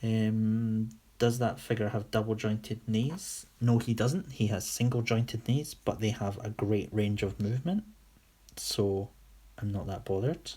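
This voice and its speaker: Speaking fairly slowly with a Scottish accent, this voice has a dark, mellow, somewhat breathy tone and fairly even intonation, captured in a very clean recording with a silent background. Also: man, medium pitch for a man. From Scotland, Whitburn (West Lothian). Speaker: toy customiser / livestreamer. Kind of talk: casual livestream chat answering viewer questions. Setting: live stream on camera.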